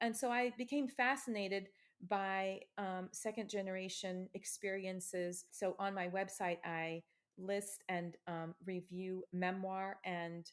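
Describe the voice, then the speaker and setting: Speaking at a fairly slow pace with an American accent, a woman has an ordinary speaking voice, medium pitch and fairly even intonation. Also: very clean recording, silent background. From US Midwest, Ohio. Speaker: author. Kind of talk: interview.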